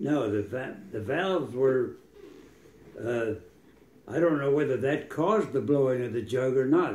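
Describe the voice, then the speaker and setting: Speaking at a fairly slow pace with long, frequent pauses, a man with an American accent uses ordinary pitch variation, and audible room echo surrounds his voice. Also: medium pitch for a man. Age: 80s+. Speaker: retired air force pilot. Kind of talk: casual chat. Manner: halting.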